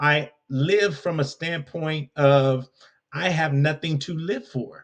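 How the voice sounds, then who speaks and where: A man with an American accent, fairly high-pitched and somewhat breathy, with fairly even intonation. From US West Coast, Compton, California. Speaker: leadership coach and speaker. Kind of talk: podcast interview.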